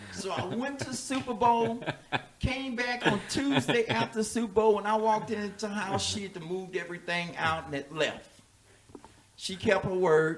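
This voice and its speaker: A man speaks with an animated tone and lively intonation, his pitch high for a man. The pace is moderate, and background noise is noticeable. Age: 60s. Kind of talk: casual chat.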